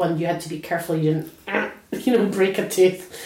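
With an Edinburgh accent, a woman talks at a fairly quick pace in a fairly low pitch, amid noticeable background noise and audible room echo. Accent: Scottish (Edinburgh). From Scotland, near Edinburgh. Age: 40s. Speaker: oral history interviewee. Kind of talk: personal reminiscence interview.

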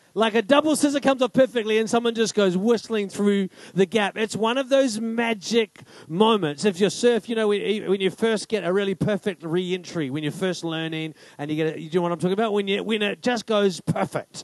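A loud man with a high pitch and ordinary pitch variation, at a fairly quick pace, in a dry, close sound with no echo. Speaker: pastor. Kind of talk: sermon. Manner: fast.

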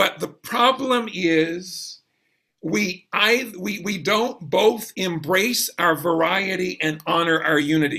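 Raised and projected, a man's high-pitched voice with a bright, sharp tone moves at a very slow pace in an American accent. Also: ordinary pitch variation. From US South, South Georgia. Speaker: jazz pianist and life coach. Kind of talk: casual chat.

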